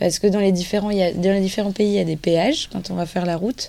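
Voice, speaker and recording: Fairly quick speech from a woman at medium pitch, dark and mellow in tone, with fairly even intonation. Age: 20s. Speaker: retail sales manager, charity raid team member. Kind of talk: radio interview.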